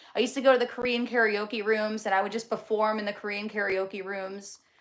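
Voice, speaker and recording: A woman speaks at a moderate pace with a fairly high pitch. She has an American accent. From New Jersey. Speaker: livestreamer. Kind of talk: casual chat reading live comments. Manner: animated.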